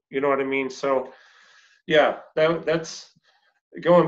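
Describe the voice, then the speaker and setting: Over quiet surroundings, a man talks at a moderate speed. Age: 50s. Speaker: personal trainer and interview host; interview guest. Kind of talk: interview. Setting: remote call. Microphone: video call.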